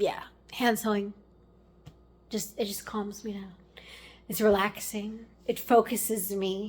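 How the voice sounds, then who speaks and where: Long, frequent pauses break up a woman's somewhat breathy speech, delivered in a monotone with flat intonation. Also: medium pitch for a woman, big swings in loudness. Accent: American. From Maryland, US. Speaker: lifestyle vlogger. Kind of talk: casual vlog talk to camera. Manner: casual, meandering with many fillers.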